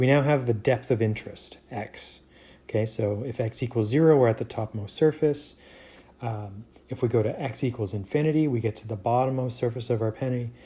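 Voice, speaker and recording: Dark, mellow tone and somewhat breathy delivery from a male speaker. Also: medium pitch for a man, fairly even intonation. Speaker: professor. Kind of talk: lecture. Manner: halting, many fillers.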